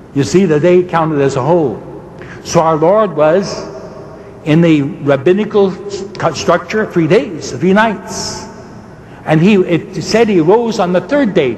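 Noticeable background noise sits behind a man whose high-pitched voice shows ordinary pitch variation. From Ireland. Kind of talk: debate. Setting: stage with audience.

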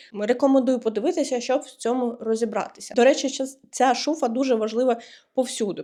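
Her voice is high-pitched with a dark, mellow tone. The woman keeps a moderate pace and ordinary pitch variation. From Ukraine. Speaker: vlogger and freelance web developer. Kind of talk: explainer vlog.

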